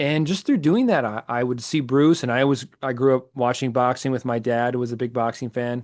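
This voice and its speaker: Over a quiet background, a man with an American accent uses an ordinary speaking voice at medium pitch, talking fairly quickly with fairly even intonation and hardly any pauses. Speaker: ring announcer; former professional theater actor. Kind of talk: interview answer.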